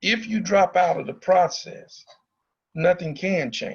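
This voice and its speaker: The speaker has a Southern US accent and talks at a fairly slow pace with ordinary pitch variation. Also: man. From Arkansas (Pine Bluff). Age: 60s. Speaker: former student leader, speaker at forum. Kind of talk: public talk to students. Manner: animated.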